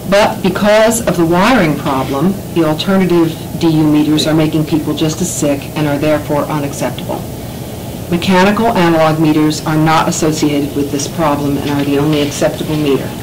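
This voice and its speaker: A woman's very deep, low voice at a fairly quick pace, with ordinary pitch variation, audible room echo, and noticeable background noise. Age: 60s. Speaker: resident speaking at public health hearing. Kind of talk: public testimony. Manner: formal, prepared statement.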